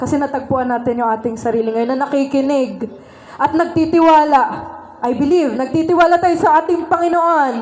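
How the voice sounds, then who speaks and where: A high-pitched woman speaks in an animated tone at a fairly quick pace, with audible room echo and noticeable background noise. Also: ordinary pitch variation. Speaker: church speaker. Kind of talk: sermon.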